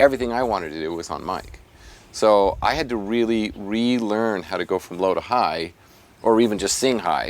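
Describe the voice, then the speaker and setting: Over noticeable background noise, a man with an American accent and a fairly low pitch speaks at a moderate pace with ordinary pitch variation. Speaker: vocal coach. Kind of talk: interview.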